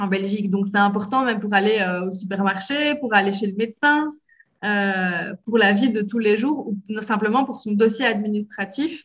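A woman with a normal speaking voice, medium pitch, ordinary pitch variation and a fairly slow pace. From Belgium. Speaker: French language lecturer and cultural liaison officer. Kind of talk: interview.

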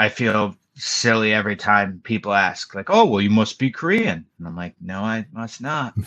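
The tone is bright and sharp, with ordinary pitch variation, a fairly slow pace, and a quiet background. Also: man. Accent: American. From New York. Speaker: expat model and former English teacher. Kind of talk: casual chat.

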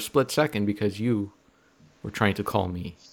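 With lively intonation, a man talks in a plain, everyday voice. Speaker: podcast co-host. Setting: online call.

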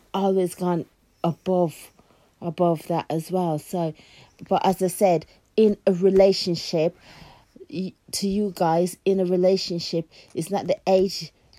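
A woman with medium pitch and a dark, mellow tone speaks flatly, in a monotone, at a fairly slow pace with long, frequent pauses. The recording is very clean and dry, close and echo-free, with a silent background. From Jamaica. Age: 40s. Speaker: podcast co-host. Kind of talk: casual chat.

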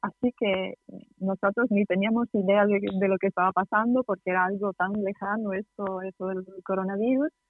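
A woman's fairly even intonation comes through while music plays behind her. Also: medium pitch for a woman, moderate pace. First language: Italian (speaking Spanish). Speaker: tour guide. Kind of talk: interview. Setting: phone call. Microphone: poor connection.

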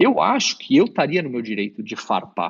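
A man speaks with very wide pitch swings. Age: 30s. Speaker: esports coach. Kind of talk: interview.

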